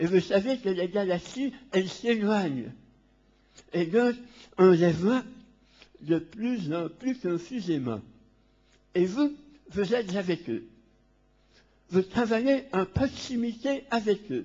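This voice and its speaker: Long, frequent pauses break up a man's very slow speech, high in pitch with lively intonation. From Belgium. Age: 60s. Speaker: Jesuit priest, conference speaker. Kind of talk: lecture.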